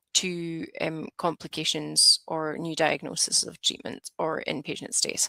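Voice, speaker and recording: A woman with a Scottish accent at a fairly slow pace, in a very clean recording with a silent background and a dry, close sound with no echo. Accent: Scottish, noticeable. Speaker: advanced nurse practitioner. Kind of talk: lecture. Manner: hesitant, many fillers.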